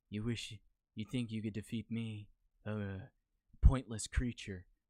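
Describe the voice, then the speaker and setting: A man puts on a character voice at a medium pitch. He speaks at a moderate pace with monotone, flat intonation. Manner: menacing, dismissive.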